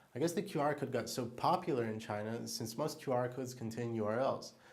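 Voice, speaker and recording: A fairly quick-talking man is heard with audible room echo. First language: Hebrew. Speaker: diamond salesperson. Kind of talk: tutorial.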